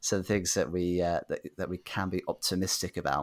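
This man has an unremarkable speaking voice with a fairly low pitch, talking at a moderate pace in a very clean recording against a silent background. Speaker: podcast host. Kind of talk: casual interview.

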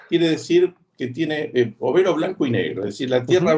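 Somewhat breathy, a man's voice moves along at a fairly quick clip. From Argentina, Buenos Aires. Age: 60s. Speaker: veterinarian and agroecology farmer. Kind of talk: interview conversation.

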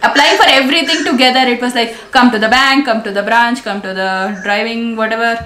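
Woman's voice, fairly high-pitched and fairly quick, with noticeable background noise. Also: ordinary pitch variation, hardly any pauses. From India, Delhi. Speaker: travel YouTuber. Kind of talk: casual chat. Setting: video call.

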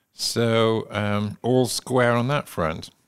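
With a West Country accent, a man speaks at a fairly low pitch and with ordinary pitch variation. The recording is very clean and the background silent. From England. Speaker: podcast host. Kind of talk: casual chat.

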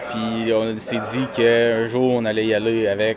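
Fairly slow speech from a man at medium pitch, with audible room echo and noticeable background noise. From Quebec, Varennes near Montreal. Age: young. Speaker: horse breeder. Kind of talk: casual interview. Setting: barn at a horse show. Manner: loud.

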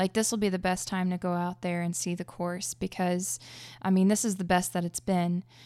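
With an American accent, a woman speaks at a medium pitch in a dark, mellow tone with fairly even intonation, on a very clean recording with a silent background. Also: moderate pace. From Oklahoma. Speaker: disc golfer. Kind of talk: casual interview. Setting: studio.

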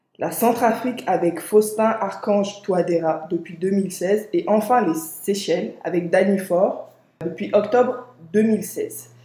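A woman talks at a very slow pace, her pitch medium with ordinary variation. Noticeable background noise runs under her voice. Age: 20s. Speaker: podcast host. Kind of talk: scripted reading; casual discussion.

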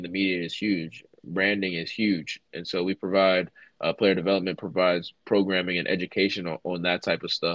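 The man has an unremarkable speaking voice with a fairly low pitch. He keeps a moderate pace and fairly even intonation. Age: 20s. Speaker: college football player development coach, former player. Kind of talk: interview.

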